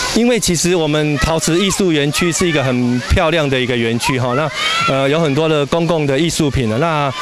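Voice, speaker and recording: This man talks at a fairly quick pace with ordinary pitch variation. Background noise is noticeable. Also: dry sound with no echo. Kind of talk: interview answer. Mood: friendly, welcoming. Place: waterside. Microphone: handheld.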